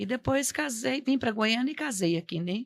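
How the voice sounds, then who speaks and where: A woman's plain, everyday voice, fairly high in pitch with lively intonation, at a fairly slow pace on a very clean recording with a silent background. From Goiás, Brazil (born in Minas Gerais). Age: 60s. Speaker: religious witness guest. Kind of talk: testimony.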